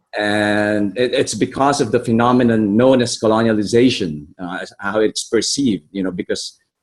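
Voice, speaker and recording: In an American accent, a man speaks at a moderate pace and medium pitch with ordinary pitch variation and hardly any pauses. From Philippines. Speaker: workshop participant. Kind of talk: group discussion. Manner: halting.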